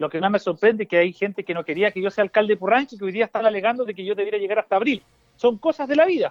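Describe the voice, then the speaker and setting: Talking very fast with a Chilean accent, this man has a high-pitched voice. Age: 40s. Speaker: mayor and parliamentary candidate. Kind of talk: radio interview. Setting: phone call.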